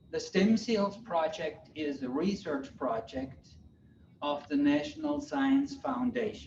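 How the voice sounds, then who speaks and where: A man with a high pitch talks at a very slow pace, his pitch swinging very widely. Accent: German. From Germany. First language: German. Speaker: college professor. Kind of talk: lecture.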